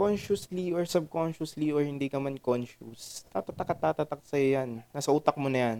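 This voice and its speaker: The speech moves at a moderate pace with hardly any pauses, in a normal speaking voice. The sound is dry and close, with no echo. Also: man, fairly high pitch for a man, ordinary pitch variation. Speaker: podcast co-host. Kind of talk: casual chat.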